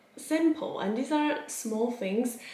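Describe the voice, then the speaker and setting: Very slow speech from a woman with ordinary pitch variation, audible room echo and noticeable background noise. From Poland. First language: Polish. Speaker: occupational psychologist and coach. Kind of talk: personal vlog monologue.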